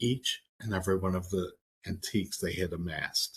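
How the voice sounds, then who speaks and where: Somewhat breathy and very deep, a man's voice moves at a moderate pace with fairly even intonation. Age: 60s. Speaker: social services program director and trainer. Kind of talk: Q&A in online training session.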